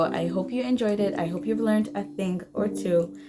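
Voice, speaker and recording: A woman's voice over noticeable background noise. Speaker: beauty youtuber, makeup artist. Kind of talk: tutorial. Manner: chatty, talkative.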